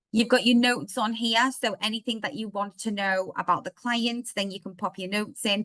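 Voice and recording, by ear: Speaking at a moderate pace, a woman keeps her intonation fairly even. Her pitch is medium and her tone fairly bright.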